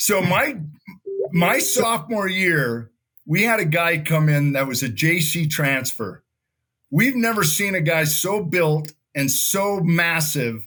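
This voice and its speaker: Speaking at a very slow pace, a man uses a high pitch, a bright, sharp tone and lively intonation. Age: 60s. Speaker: former TV gladiator and college football player. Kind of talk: casual interview chat.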